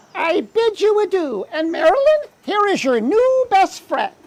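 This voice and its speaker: The put-on character voice sits at an extremely high pitch and moves at a moderate pace. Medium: stage play. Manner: grandiose, theatrical.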